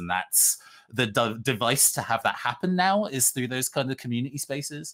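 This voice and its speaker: Against a quiet background, a man with a British accent speaks in a bright, sharp tone with ordinary pitch variation. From UK, British Caribbean heritage. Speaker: RPG writer and actual-play performer; panelist. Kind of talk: panel discussion. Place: home room.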